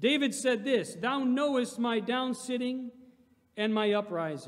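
Against a quiet background, the speech runs at a moderate pace with ordinary pitch variation. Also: man. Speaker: preacher. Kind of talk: sermon. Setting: church. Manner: animated, call-and-response, pulpit preaching with congregation prompts. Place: hall. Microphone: podium.

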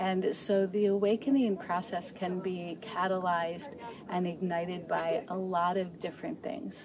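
Over noticeable background noise, the speech comes at a moderate pace with fairly even intonation and a dry sound with no echo. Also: woman. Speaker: interviewee. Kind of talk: interview answer. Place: forest.

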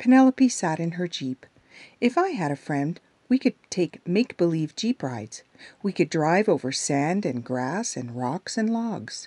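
Calm and soothing, a woman speaks at a fairly slow pace with very wide pitch swings. Her tone is dark and mellow, and the sound is dry and close with no echo. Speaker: audiobook narrator. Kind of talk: children's story audiobook reading. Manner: calm, soothing, gentle; slow, storytelling, with character voices.

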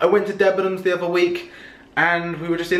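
A man's high-pitched voice, with audible room echo. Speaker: vlogger. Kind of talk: casual vlog chat. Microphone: camera far.

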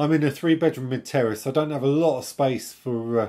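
Moderate pace from a man with a dark, mellow tone. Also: quiet background. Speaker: radio amateur channel host. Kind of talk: casual tech vlog chat. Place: home room.

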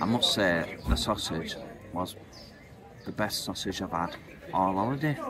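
A man speaks at a fairly slow pace while noticeable background noise carries on behind him. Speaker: vlogger. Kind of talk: casual vlog chat. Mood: relaxed, pleased. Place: cafe. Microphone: phone near.

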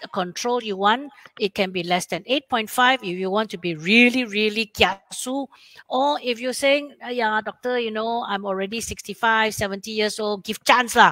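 A woman at a fairly high pitch, with a bright, sharp tone, ordinary pitch variation and a moderate pace, in a dry, close sound with no echo.

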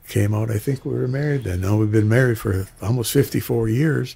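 A somewhat breathy, dark, mellow male voice at medium pitch. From Michigan Upper Peninsula (Republic); Michigan. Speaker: singer; guest. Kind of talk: interview. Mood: warm, nostalgic. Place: studio. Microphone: studio mic.

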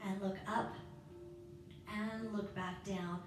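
A woman speaks at a medium pitch. The room echo is audible, and there is noticeable background noise. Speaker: yoga instructor. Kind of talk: guided yoga class with cueing and a calming mantra. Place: home room.

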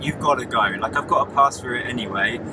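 Loud background noise around a man's dry, echo-free voice. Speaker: travel vlogger living in his car. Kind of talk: casual vlog chat. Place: car. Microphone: phone near.

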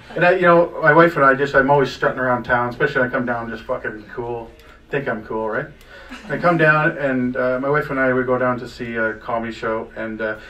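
Ordinary pitch variation comes through as a man talks at a fairly quick pace. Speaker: stand-up comedian. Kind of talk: stand-up comedy storytelling. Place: cafe.

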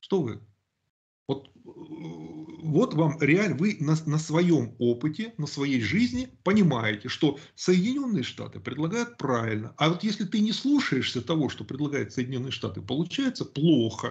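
A man speaks fairly slowly with vocal fry. His pitch swings very widely. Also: fairly high pitch for a man. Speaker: YouTube channel host. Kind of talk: casual discussion on politics. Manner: talkative, opinionated.

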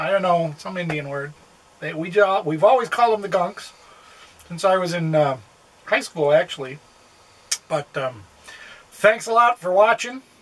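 A man's moderate pace broken by long, frequent pauses. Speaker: RV travel vlogger. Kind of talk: casual vlog chat. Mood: quiet, others asleep. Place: home room. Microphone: phone near.

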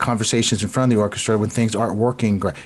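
His intonation is fairly even. The speaker is a man with an American accent. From US South, South Florida (Broward County); Florida. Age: 50s. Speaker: composer and violinist; guest. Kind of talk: casual chat. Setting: video call.

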